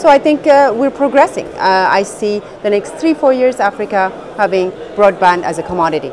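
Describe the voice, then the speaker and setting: Very wide pitch swings at a fairly quick pace, with noticeable background noise. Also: woman, medium pitch for a woman. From Ethiopia. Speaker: tech entrepreneur. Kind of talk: TV interview. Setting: on location at a conference. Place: hall.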